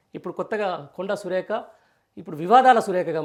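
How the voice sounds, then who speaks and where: A man talks with a high pitch and ordinary pitch variation. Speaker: political journalist. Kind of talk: news commentary. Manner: conversational, rambling delivery.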